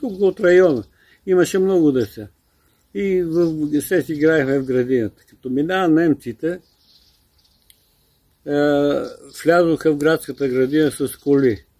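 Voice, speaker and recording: A man with a dark, mellow tone and a fairly high pitch speaks at a fairly slow pace. His pitch variation is ordinary, and he takes long, frequent pauses. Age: 80s+. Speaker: World War II era eyewitness. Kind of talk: oral history interview answer.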